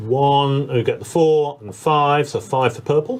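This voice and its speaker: A man speaks in an English accent. His pitch is fairly high. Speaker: board game player. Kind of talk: casual chat.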